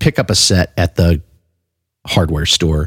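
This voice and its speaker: A man speaks in a relaxed, somewhat breathy tone, recorded dry and close with no echo. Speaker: podcast host and bass player. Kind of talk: casual podcast chat. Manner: relaxed, conversational, with fillers.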